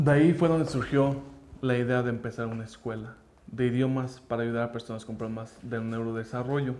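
A speaker with an English accent talks at a fairly quick pace, the intonation fairly even. Noticeable background noise runs under the voice. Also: man, medium pitch for a man. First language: English (speaking Spanish). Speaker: language school founder. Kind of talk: personal story monologue.

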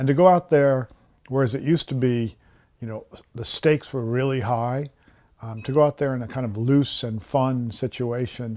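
A man with a normal speaking voice, medium in pitch, talks with fairly even intonation but big swings in loudness in a very clean recording with a silent background. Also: moderate pace. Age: 50s. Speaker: nature writer. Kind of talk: interview.

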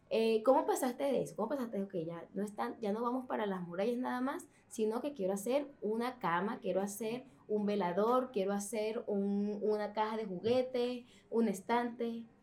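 A woman's fairly high voice moves at a moderate pace with ordinary pitch variation. Behind her, background noise is noticeable. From Venezuela. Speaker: podcast host. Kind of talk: interview.

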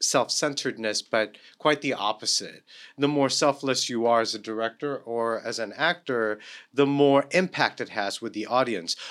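At a moderate pace, a man talks in an unremarkable speaking voice on a very clean recording with a silent background. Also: medium pitch for a man, ordinary pitch variation. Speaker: theater professor. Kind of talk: casual chat, interview.

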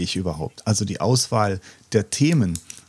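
A man speaks with lively intonation. The sound is dry and close with no echo, and his voice is somewhat breathy. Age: 50s. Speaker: pastor. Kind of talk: casual chat.

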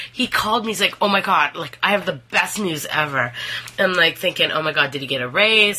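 Noticeable background noise sits under a fairly quick delivery with lively intonation. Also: woman. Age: 30s. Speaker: co-host, host's wife. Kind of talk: casual chat.

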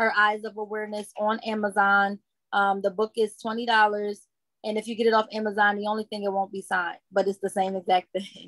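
A woman speaks with a New Jersey accent at a medium pitch. Her intonation is monotone and flat, and the sound is dry and close with no echo. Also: fairly quick pace. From Newark, New Jersey. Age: 30s. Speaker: nonprofit founder and author. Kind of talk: testimony. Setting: video call.

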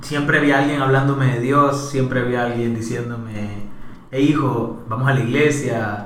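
A man with a Salvadoran accent at a fairly slow pace, amid audible room echo and noticeable background noise. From El Salvador, Soyapango area of San Salvador. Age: 20s. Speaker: entrepreneur. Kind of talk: interview conversation. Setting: at the host's home.

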